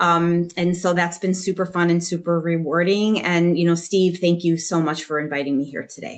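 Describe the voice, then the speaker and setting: With a Chicago accent, a woman speaks at a fairly low pitch, monotone and flat. She leaves hardly any pauses. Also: moderate pace. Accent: Chicago American. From US Midwest, Chicago. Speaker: talent acquisition consultant and job search coach. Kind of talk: panel discussion.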